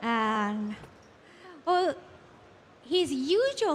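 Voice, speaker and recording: A woman's high voice in a Japanese accent, with lively intonation. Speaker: event emcee. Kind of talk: award announcement.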